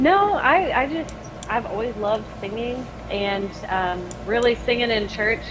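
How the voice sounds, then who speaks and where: A woman speaks at a fairly slow pace with a fairly high pitch and lively intonation. Music plays in the background, and room echo is audible. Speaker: metal band singer. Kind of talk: casual interview chat.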